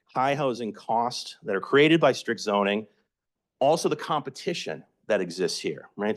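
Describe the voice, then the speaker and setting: In an American accent, a man with an unremarkable speaking voice talks at medium pitch and a moderate pace with lively intonation over a quiet background. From Massachusetts (Somerville, Boston area). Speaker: housing advocate presenter. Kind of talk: educational presentation.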